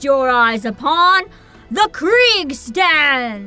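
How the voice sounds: A woman does a put-on character voice, high-pitched with very wide pitch swings. Faint music plays in the background.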